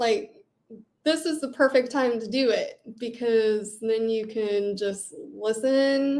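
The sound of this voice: A woman speaks with a fairly high pitch and fairly even intonation. Her tone is slightly mellow.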